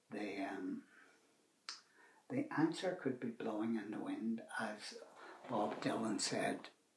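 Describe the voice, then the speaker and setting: In a Northern Irish accent, a man speaks at a very slow pace. He leaves long, frequent pauses. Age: 70s. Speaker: retired man sharing views on YouTube. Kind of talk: casual monologue. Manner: halting.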